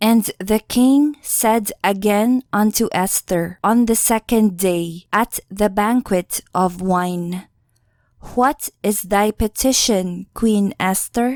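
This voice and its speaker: A woman speaks at a very slow pace with very even loudness. The recording is very clean with a silent background and a dry, close sound with no echo. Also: medium pitch for a woman, ordinary pitch variation. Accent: non-native. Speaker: audiobook narrator. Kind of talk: scripture reading.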